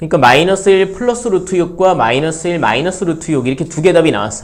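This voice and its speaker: A very fast pace with lively intonation. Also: man, high pitch for a man. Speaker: math teacher. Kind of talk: lecture.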